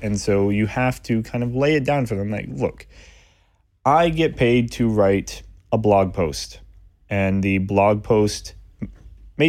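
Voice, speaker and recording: A man's fairly low voice at a fairly slow pace, with lively intonation, on a very clean recording with a silent background. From US, moved around; born in Michigan. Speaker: freelance writer and communications consultant. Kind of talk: interview.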